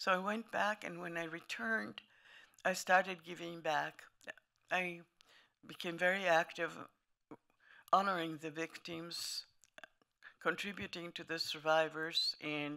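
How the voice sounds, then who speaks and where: A woman speaks at a moderate pace, her pitch fairly low with ordinary variation. Her tone is bright and sharp, with vocal fry. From Lithuania, later Italy. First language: German. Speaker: Holocaust survivor. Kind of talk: testimony. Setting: museum talk to an audience.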